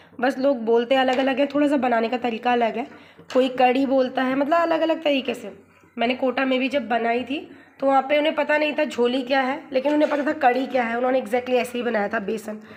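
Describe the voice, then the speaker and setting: Noticeable background noise surrounds a woman whose high voice moves at a moderate pace with fairly even intonation. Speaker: vlogger. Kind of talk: casual vlog chat. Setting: at her parents' home kitchen.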